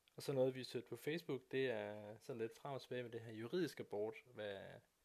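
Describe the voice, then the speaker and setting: Medium pitch and a moderate tempo from a man with a normal speaking voice, his intonation fairly even. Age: 30s. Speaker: podcast co-host and phone salesman. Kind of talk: casual chat.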